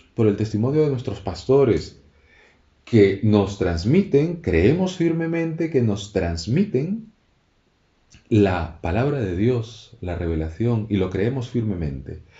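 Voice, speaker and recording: A man's somewhat breathy, medium-pitched voice at a very slow pace, with very wide pitch swings. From Canary Islands. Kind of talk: religious radio talk. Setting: radio studio. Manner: halting, frequent repetitions.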